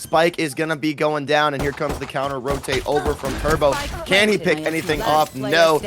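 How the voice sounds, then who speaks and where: A man with a fairly high pitch talks at a moderate pace. His pitch varies ordinarily over noticeable background noise. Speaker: esports caster. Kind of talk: live commentary. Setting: casting booth at LAN event. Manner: high energy.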